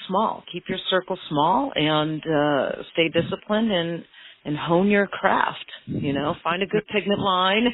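Speaking at a fairly slow pace, a woman uses a plain, everyday voice with ordinary pitch variation. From Maine, US. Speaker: permanent makeup artist and business owner. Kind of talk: interview.

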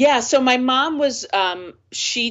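In an American accent, a woman speaks at a very slow pace with lively intonation. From US, northern New Jersey. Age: 50s. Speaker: nonprofit executive director. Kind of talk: interview.

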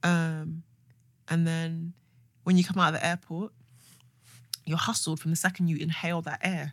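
Somewhat breathy, a woman speaks at a moderate pace and a fairly low pitch. Her intonation is monotone and flat, with long, frequent pauses. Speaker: podcast co-host. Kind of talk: casual chat.

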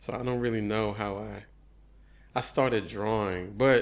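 With an American accent and a normal speaking voice, a man talks at a fairly slow pace and fairly low pitch in a very clean recording with a silent background. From Houston area, Texas (Missouri City). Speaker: visual artist. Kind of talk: casual chat. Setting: artist's studio.

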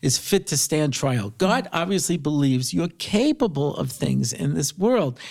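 In a plain, everyday voice, a man speaks at a moderate pace with an American accent. The recording is very clean, the background silent. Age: 50s. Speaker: rabbi and speaker. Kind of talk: interview.

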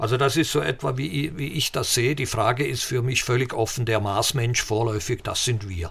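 A man with a plain, everyday voice speaks at a medium pitch and a moderate pace, with ordinary pitch variation and hardly any pauses. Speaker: physicist and space expert. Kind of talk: interview.

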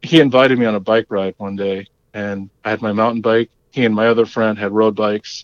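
In an American accent, a man with a plain, everyday voice speaks at a fairly low pitch, moderate pace and fairly even intonation. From Long Island, New York. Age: 40s. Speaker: cycling team member. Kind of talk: casual chat.

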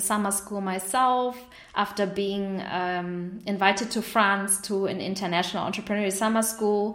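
With a German accent, a woman talks at a moderate pace in a medium pitch with fairly even intonation. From northern Germany. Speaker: entrepreneur. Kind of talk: interview.

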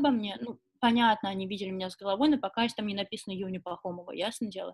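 A woman is speaking. Her pace is very fast. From Russia, Nizhny Novgorod. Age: 20s. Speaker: fashion model. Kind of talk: casual interview. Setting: video call.

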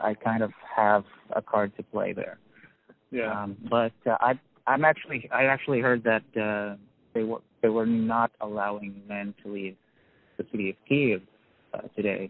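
Speaking in a New York accent, a man leaves long, frequent pauses. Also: medium pitch for a man, fairly even intonation, moderate pace. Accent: New York American. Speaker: newspaper editor. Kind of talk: interview. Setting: in a car. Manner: halting.

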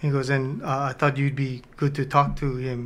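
A man's fairly high voice, playful in tone and bright and sharp, at a fairly slow pace. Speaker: co-host, radio personality. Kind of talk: casual chat. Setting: studio, filmed on camera. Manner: playful, joking.

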